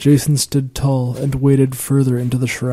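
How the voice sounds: Here the reading voice is natural. That holds from start to finish.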